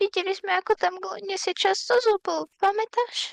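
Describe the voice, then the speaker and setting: A woman uses a put-on character voice at an extremely high pitch with fairly even intonation. The sound is dry and close, with no echo. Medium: fan dub. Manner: soft-spoken, meek.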